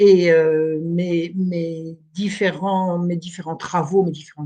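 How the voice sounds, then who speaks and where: Somewhat breathy, a woman's voice sits fairly low in pitch. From France, Burgundy. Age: 70s. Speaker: historian. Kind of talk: interview.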